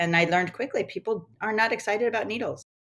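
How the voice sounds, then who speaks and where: An unremarkable speaking voice from a woman, with ordinary pitch variation and a moderate pace. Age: 60s. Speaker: acupuncturist. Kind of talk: interview.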